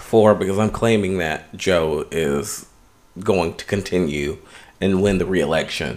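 A man's very slow speech with lively intonation. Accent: American. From Los Angeles, US West Coast. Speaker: podcast co-host. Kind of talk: casual chat.

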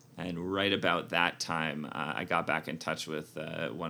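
Very deep, low male voice, bright and sharp in tone, with vocal fry. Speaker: MBA alum, tech product director. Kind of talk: interview.

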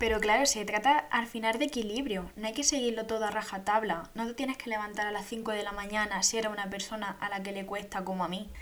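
Very fast speech with fairly even intonation runs on with hardly any pauses, over noticeable background noise. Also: woman, fairly high pitch for a woman. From Andalusia, Spain (Jaén province). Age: 20s. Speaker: podcast host. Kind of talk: casual monologue.

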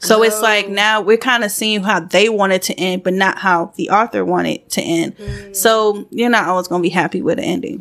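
A woman at a medium pitch and fairly quick pace, with hardly any pauses and ordinary pitch variation. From Georgia, US South (Gwinnett area). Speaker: podcast co-host. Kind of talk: casual chat.

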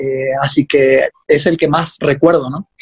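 At a fairly slow pace, a man talks in an unremarkable speaking voice with ordinary pitch variation. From Corrientes capital, Argentina. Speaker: professional footballer. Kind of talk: casual interview. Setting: video call from Mexico.

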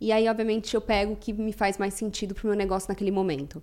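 A woman of medium pitch talks at a very fast pace in a dark, mellow tone. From Brazil, São Paulo. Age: 30s. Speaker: company CEO. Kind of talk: interview.

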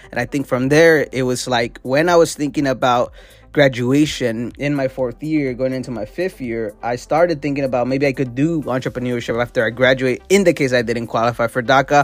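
With music in the background, a man at medium pitch talks at a fairly quick pace with fairly even intonation and hardly any pauses. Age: 20s. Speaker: entrepreneur podcast host. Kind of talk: solo podcast monologue.

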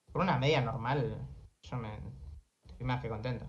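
A man speaks at a moderate pace with vocal fry. Room echo is audible. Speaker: streamer and taekwondo competitor. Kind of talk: casual chat.

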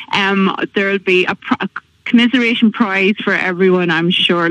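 A woman with an Irish accent, fairly even intonation and a dry, close sound with no echo. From Ireland, County Monaghan. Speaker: school fundraiser organiser. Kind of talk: radio interview.

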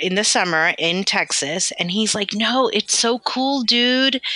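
A woman with an American accent has an ordinary speaking voice, talking at a moderate pace with ordinary pitch variation. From London, then US South and Southern California. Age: 40s. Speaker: physical therapist and practice owner. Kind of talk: casual interview conversation.

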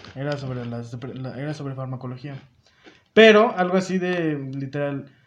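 His pace is moderate. The man's voice sits fairly high in pitch. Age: 20s. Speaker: university student. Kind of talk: casual chat.

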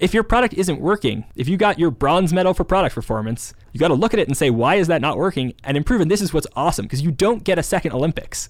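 A man with a high pitch speaks in an American accent with lively intonation. He goes at a very fast pace with hardly any pauses. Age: 20s. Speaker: startup founder and strategy executive. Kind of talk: interview.

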